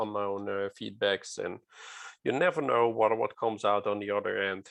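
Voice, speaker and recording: Against a quiet background, a man speaks with a non-native accent. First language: non-native English speaker. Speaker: safety culture speaker. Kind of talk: lecture. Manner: halting, many fillers.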